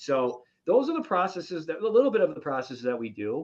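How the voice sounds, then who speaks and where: Man with an unremarkable speaking voice, lively intonation and a fairly quick pace, against a quiet background. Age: 30s. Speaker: real estate investor. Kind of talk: casual chat.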